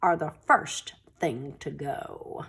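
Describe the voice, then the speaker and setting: Growling, a woman puts on a character voice. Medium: read story. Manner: snarling, sneering.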